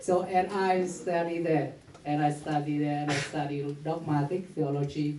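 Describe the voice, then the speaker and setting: A man with a Vietnamese accent keeps his intonation fairly even, with audible echo from the room. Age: 40s. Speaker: priest. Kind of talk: conference talk. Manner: halting.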